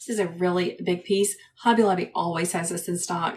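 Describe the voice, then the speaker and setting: At a fairly slow pace, a woman speaks at medium pitch in a monotone, flat intonation. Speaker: wreath maker, former kindergarten teacher. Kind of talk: instructional craft tutorial. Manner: calm, soothing.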